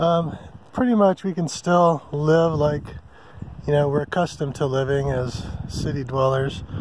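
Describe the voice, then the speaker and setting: A man with an American accent, fairly high-pitched for a man, at a moderate pace with ordinary pitch variation and a relaxed tone, dry with no echo over light background noise. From California (San Diego); California. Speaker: RV travel vlogger. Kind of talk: casual vlog monologue. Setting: outdoors at a campsite in the forest. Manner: relaxed with many fillers (um, uh). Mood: relaxed, content. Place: open country. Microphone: phone near.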